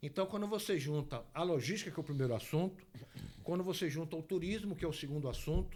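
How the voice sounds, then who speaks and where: Very fast speech from a man, high in pitch, with ordinary pitch variation. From Bahia, Brazil (Ilhéus region). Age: 60s. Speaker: guest speaking on regional infrastructure. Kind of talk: talk-show interview. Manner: animated.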